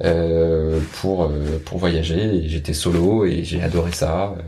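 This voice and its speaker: A man speaks in a somewhat breathy voice. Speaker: friend of the host. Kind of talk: interview.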